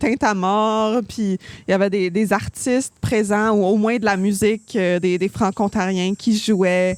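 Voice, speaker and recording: At a moderate pace and medium pitch, a woman speaks with fairly even intonation. The recording is very clean, with a silent background and a dry, close sound with no echo. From Ontario, Canada. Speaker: singer-songwriter, music coach. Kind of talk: podcast interview. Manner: hesitant, many fillers.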